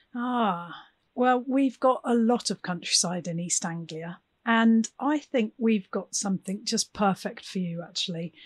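In a British accent, a woman with a fairly high pitch speaks at a fairly slow pace, somewhat breathy, with ordinary pitch variation. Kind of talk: scripted podcast hosting.

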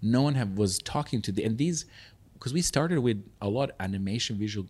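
On a very clean recording with a silent background, a man speaks in a somewhat breathy voice with ordinary pitch variation. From Serbia. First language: Serbian. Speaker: festival founder. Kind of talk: interview.

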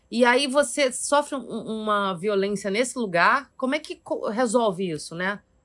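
A woman speaks in an ordinary speaking voice at a fairly high pitch with lively intonation. Her pace is fairly slow over a quiet background. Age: 40s. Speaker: actress. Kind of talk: casual chat.

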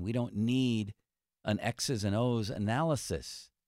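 On a very clean recording with a silent background and a dry, close sound with no echo, a man talks in a plain, everyday voice at medium pitch with ordinary pitch variation. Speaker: sports radio host. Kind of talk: casual sports talk show. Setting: radio studio.

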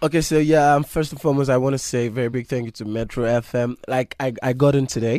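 Speaking at a very fast pace with hardly any pauses, a man with a medium-pitched, dark, mellow tone keeps his intonation fairly even. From Nigeria. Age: 20s. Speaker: singer. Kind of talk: interview. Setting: studio.

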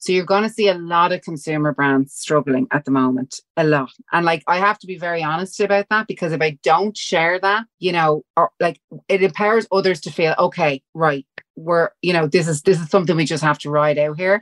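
A woman speaks with a strong Dublin accent at a fairly low pitch. Her pace is fairly quick, and the sound is dry and close with no echo. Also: ordinary pitch variation. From Dublin, Ireland. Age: 40s. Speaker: fitness brand founder. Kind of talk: casual interview chat.

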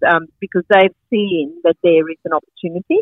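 A woman speaks at a medium pitch with a slight Sri Lankan accent. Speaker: farmer and market organiser. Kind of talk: interview.

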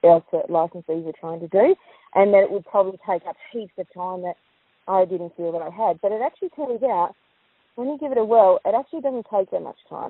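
A woman with an Australian accent at a fairly quick pace. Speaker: post office licensee. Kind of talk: recorded interview. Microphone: crackly phone line.

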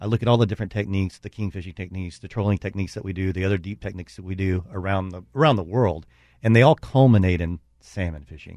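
The speech is very fast, with ordinary pitch variation, against a quiet background. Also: man. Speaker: marine engine company representative. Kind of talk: radio interview.

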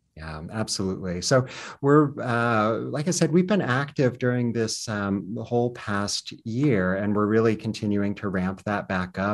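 A man speaks in a normal speaking voice with an American accent, fairly low in pitch, at a moderate pace. His intonation is lively, and the background is quiet. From US South, southwestern Virginia Appalachia. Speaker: performing arts center director. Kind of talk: interview.

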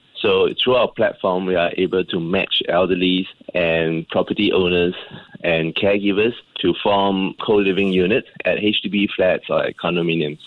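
Loudness stays very even. The pace is moderate. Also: man. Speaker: senior living entrepreneur. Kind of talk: radio interview. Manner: calm.

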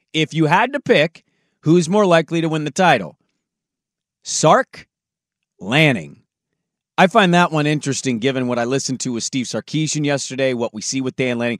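Pausing long and often, a man with a fairly high pitch speaks with lively intonation on a very clean recording with a silent background. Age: 30s. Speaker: sports radio host. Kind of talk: casual banter.

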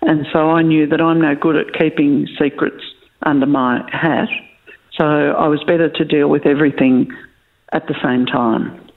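A woman with an Australian accent, a very deep, low pitch, fairly even intonation, very even loudness and a moderate pace. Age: 60s. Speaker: farm succession planning facilitator. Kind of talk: podcast interview. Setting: remote interview from home.

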